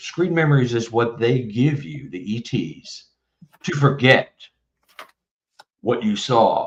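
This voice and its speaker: Somewhat breathy qualities mark this voice. An American accent comes through. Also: man. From Texas. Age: 70s. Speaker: author. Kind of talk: casual interview.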